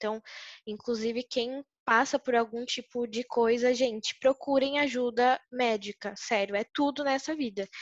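A woman with a high voice speaks at a moderate pace with fairly even intonation, the sound dry and close with no echo. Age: 20s. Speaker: model and content creator. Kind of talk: casual interview chat.

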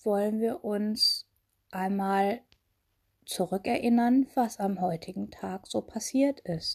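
A somewhat breathy woman speaks at a very slow pace with a gentle, calm tone, fairly high pitch, ordinary pitch variation and long, frequent pauses, in a dry, close sound with no echo. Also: quiet background. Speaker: meditation guide. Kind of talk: guided meditation. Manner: slow, calm, soothing, with long pauses; gentle, intimate, addressing listener as 'du'.

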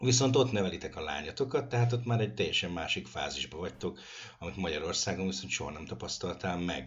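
A man talks at a very fast pace with a very deep, low pitch. His somewhat breathy voice has very wide pitch swings. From Hungary. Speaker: radio host. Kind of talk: interview.

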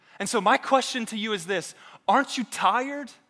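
Projecting a raised voice, a man speaks at a moderate pace with a bright, sharp tone and lively intonation. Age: 30s. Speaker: pastor. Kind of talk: sermon.

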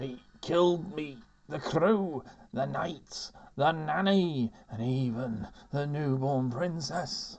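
A put-on character voice at a low-to-middle pitch, at a very slow pace. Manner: pleading, ghostly.

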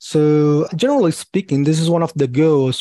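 With a Portuguese accent and a dark, mellow tone, a man speaks at a moderate pace. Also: dry, close sound with no echo. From Brazil. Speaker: payment security executive. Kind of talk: interview.

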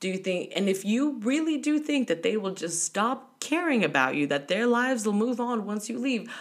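A woman with a fairly high pitch talks at a moderate pace in an animated tone, her pitch swinging very widely with hardly any pauses. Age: 30s. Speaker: travel podcaster. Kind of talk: solo monologue.

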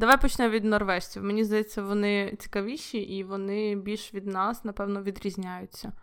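A woman speaks at a moderate pace in a monotone, flat delivery. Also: medium pitch for a woman, hardly any pauses. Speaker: podcast host. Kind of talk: casual chat.

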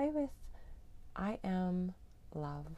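A woman speaks in a gentle tone. Her pace is very slow. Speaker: meditation guide. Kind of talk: guided meditation. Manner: calm, slow, soothing; gentle, unhurried, with long pauses.

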